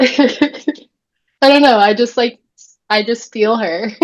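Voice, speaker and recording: A woman with an American accent and a normal speaking voice, at a fairly slow pace with ordinary pitch variation. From Florida. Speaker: birth keeper. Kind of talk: casual chat.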